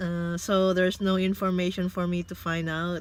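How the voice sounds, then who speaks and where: This is a woman talking in a Filipino accent. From Philippines. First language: Tagalog. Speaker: vlogger. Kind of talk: casual vlog monologue. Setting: in a car.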